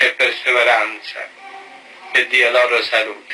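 Amid noticeable background noise, a man talks at a very slow pace. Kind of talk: sermon and blessing.

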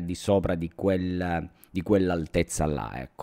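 A man with a Calabrian accent speaks at a very deep, low pitch in a dark, mellow tone against a quiet background. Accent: Calabrian accent, similar to Messina. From Reggio Calabria, southern Italy; southern Italy. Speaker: drone youtuber; tech youtuber. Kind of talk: live stream chat. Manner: casual, many fillers. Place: home room. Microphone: studio mic.

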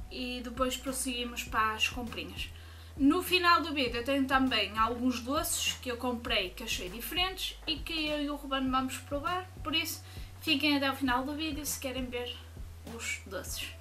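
A woman keeps a moderate pace as light noise lingers behind her. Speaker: vlogger. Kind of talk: casual vlog chat. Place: home room. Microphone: webcam.

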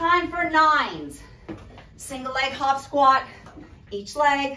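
A woman speaks in a raised, projected voice. Audible room echo and light background noise surround her. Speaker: fitness instructor. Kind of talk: workout coaching count. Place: home room. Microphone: camera far.

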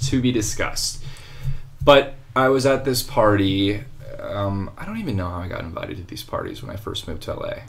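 Fairly quick speech in an American accent, with music in the background. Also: man. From California (San Diego). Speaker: actor. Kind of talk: casual chat. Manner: quiet talker, mumbler.

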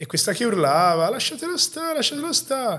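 Over a quiet background, a man races along at a very fast pace with lively intonation. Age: 30s. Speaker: podcast host, fitness enthusiast; podcast host. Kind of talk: casual interview. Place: home room. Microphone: studio mic.

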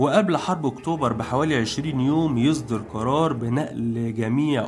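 With music in the background and audible room echo, a man at medium pitch talks at a fairly slow pace with ordinary pitch variation. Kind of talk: scripted narration.

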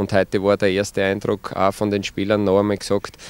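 A man speaks fairly quickly in a Styrian accent, his pitch fairly low and his intonation flat and monotone. The sound is dry with no echo. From Styria, Austria. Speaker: football coach. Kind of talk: interview. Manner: hesitant with many fillers. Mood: calm, positive. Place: open country. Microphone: handheld.

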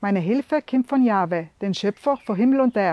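A woman speaks in a South Tyrolean accent at a moderate pace. The sound is dry with no echo, over a quiet background. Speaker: devotional video host. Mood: calm, warm, sincere. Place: open country.

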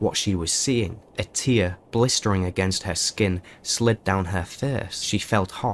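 Pitch moves up and down in an ordinary manner. The text is read out in a natural voice.

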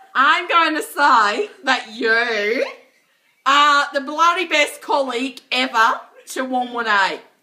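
A woman speaks in a raised, projected voice with a high pitch and a bright, sharp tone. Her pace is very slow and her intonation lively. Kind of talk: drunken prank phone call.

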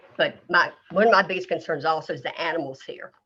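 A woman speaks in a North Carolina accent. Her pitch is fairly low. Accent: North Carolina Southern. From US South. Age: 60s. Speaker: local resident making public comment. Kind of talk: public comment. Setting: video conference or phone call.

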